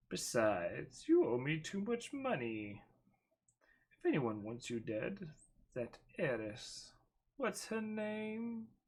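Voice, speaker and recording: Putting on a raspy character voice, a man speaks at a fairly high pitch and a fairly slow pace, with very wide pitch swings and long, frequent pauses. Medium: read story. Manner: sly, teasing.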